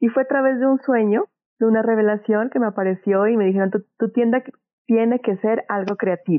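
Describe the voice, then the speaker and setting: With a plain, everyday voice, a woman speaks at a fairly quick pace, her pitch fairly high with ordinary variation and her loudness very even. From Colombia, Pasto (Nariño). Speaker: small business owner, art supplies shop. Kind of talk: interview.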